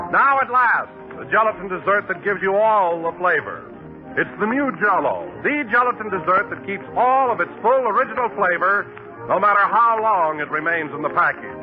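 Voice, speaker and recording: A man speaks with a high pitch and lively intonation at a moderate pace. Music plays in the background. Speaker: radio announcer. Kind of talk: radio commercial read.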